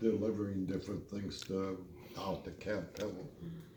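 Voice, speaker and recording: A man's somewhat breathy voice carries a dark, mellow tone. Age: 80s+. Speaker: war veteran. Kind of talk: storytelling interview answer.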